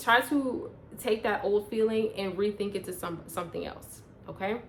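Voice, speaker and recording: A woman speaks at a medium pitch with ordinary pitch variation and a moderate pace. Noticeable background noise runs behind her. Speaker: personal growth vlogger. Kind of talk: casual vlog monologue.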